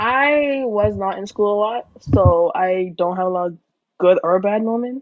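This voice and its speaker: Speaking fairly slowly in a plain, everyday voice, a woman keeps a medium pitch with ordinary pitch variation. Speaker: podcast host. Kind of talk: casual chat.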